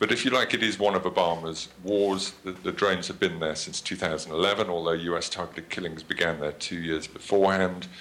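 With a British accent, a man talks in a very deep, low voice with hardly any pauses and fairly even intonation over noticeable background noise. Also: fairly quick pace. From Britain. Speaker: journalist and author on drones. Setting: video call.

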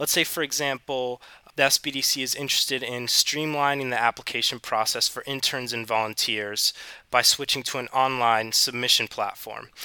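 With an American accent, a man at medium pitch speaks at a moderate pace in a bright, sharp tone and fairly even intonation, recorded dry and close with no echo. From US South, South Carolina. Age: 20s. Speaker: student ambassador. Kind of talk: interview.

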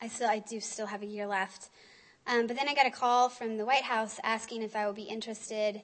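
A woman with an American accent speaks fairly quickly in a flat monotone. Her pitch sits fairly high. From rural Missouri. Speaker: government official. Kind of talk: lecture. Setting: stage with audience. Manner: halting, many fillers.

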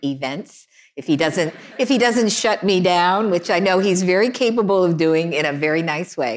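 A woman speaks in a plain, everyday voice at a fairly low pitch and a moderate pace, with ordinary pitch variation. The recording is very clean, with a silent background. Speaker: legal journalist and interviewer. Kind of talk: on-stage interview conversation. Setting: stage with audience.

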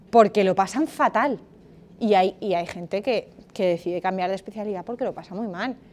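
A woman talks at a fairly quick pace in a plain, everyday voice, her pitch medium with ordinary variation. Her loudness swings widely. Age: 30s. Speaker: lawyer and master's program coordinator. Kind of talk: seminar talk to university students.

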